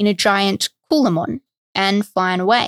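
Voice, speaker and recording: Recorded very clean with a silent background and a dry, close sound with no echo, a woman with an Australian accent speaks at a fairly slow pace. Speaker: history podcast host. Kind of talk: scripted narration.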